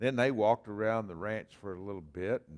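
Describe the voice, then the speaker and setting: A man at a moderate pace with a Texan accent and ordinary pitch variation, in dry, close sound with no echo. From Texas. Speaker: pastor. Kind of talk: sermon.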